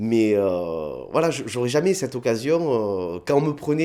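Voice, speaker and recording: The speaker has a southern French accent and very wide pitch swings. The pace is fairly slow. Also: man. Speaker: comedian. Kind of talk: interview. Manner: hesitant, many fillers.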